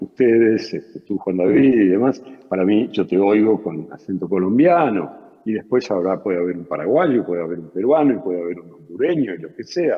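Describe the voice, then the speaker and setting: A man with an Argentine accent speaks in a fairly low pitch, with very wide pitch swings and big swings in loudness. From Argentina. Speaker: journalist and writer. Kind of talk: interview. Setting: video call. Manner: hesitant, many fillers.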